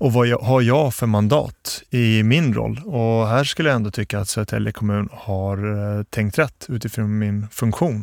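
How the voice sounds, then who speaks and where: A man's medium-pitched voice at a fairly slow pace, in a very clean recording with a silent background. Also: ordinary pitch variation. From Bosnia, moved to Sweden at 11. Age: 40s. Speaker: municipal security chief, former police officer. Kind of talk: interview. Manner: hesitant, many fillers.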